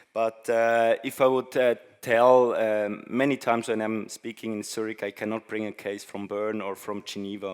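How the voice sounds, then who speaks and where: Speaking at a fairly slow pace with a non-native accent, the voice stays monotone and flat over a very clean recording with a silent background. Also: man. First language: not English. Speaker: conference speaker. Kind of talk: presentation talk. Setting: stage with audience. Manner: halting, many fillers.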